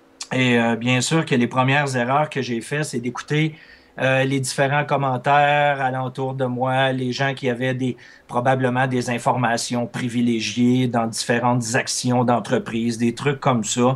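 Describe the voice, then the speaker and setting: Fairly slow and monotone, a man's medium-pitched voice stays flat throughout. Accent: Quebec. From Quebec. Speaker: trader and trading instructor. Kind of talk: interview.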